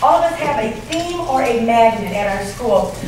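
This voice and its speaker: Audible room echo and noticeable background noise surround a woman with an American accent whose pitch varies in an ordinary way. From Michigan, US. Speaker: elementary school principal. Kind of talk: conference presentation. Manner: loud.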